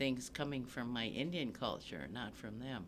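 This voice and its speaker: In an Upper Midwest accent, a man speaks at a fairly slow pace with ordinary pitch variation. His tone is bright and sharp, and audible room echo surrounds it. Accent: Upper Midwest American. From US Midwest, Saint Paul, Minnesota. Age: 70s. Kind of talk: oral history interview.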